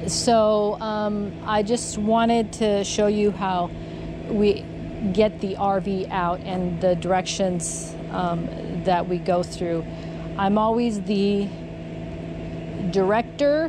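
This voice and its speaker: A woman talks at a very slow pace, leaving long, frequent pauses. The sound is dry with no echo, and there is noticeable background noise. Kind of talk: casual vlog chat. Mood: cheerful, laughing. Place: street. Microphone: phone near.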